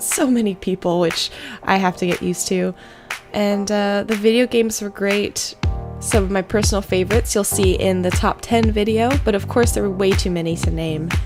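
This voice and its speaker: Music plays behind a woman who speaks at a moderate speed. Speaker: gamer, video game vlogger. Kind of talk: casual voiceover recap.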